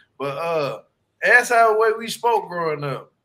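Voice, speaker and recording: On a very clean recording with a silent background, a man uses a raised, projected voice with a bright, sharp tone and ordinary pitch variation. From US South, Louisiana (Shreveport). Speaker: YouTube creator guest. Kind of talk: casual chat.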